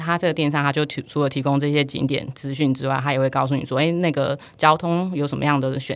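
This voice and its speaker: Speaking at a very fast pace, a woman holds a very deep, low pitch in a monotone, flat intonation. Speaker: digital marketing and travel e-commerce professional. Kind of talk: casual interview.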